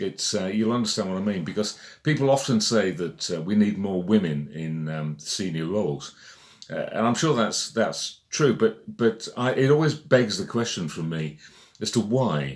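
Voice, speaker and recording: On a very clean recording with a silent background, a man with a fairly low pitch speaks with lively intonation. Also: moderate pace. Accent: British. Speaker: magazine editor. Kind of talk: casual monologue. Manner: halting, many fillers.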